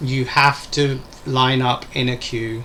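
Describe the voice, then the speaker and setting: In an Essex accent, the voice holds a monotone, flat intonation over noticeable background noise. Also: man. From England, Essex. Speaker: English teacher. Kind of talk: casual chat.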